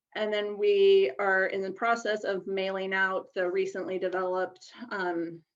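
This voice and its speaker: At a fairly slow pace and with hardly any pauses, a woman speaks in an unremarkable speaking voice. Her intonation is fairly even and her pitch medium. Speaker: researcher presenting study findings. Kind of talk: conference presentation.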